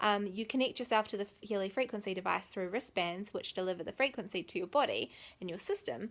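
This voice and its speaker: A woman speaks at a fairly quick pace. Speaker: wellness vlogger. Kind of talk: casual vlog monologue. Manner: animated.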